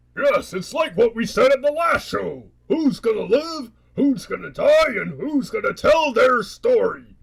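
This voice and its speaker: A man puts on a cartoonish character voice pitched extremely high. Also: moderate pace. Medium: puppet show. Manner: sarcastic, cackling.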